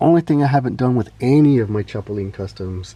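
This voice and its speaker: A man's somewhat breathy voice at a fairly quick pace, with a relaxed tone and a dark, mellow quality. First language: Spanish. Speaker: toy customizer and collector. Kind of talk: casual show-and-tell. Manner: relaxed, with frequent fillers.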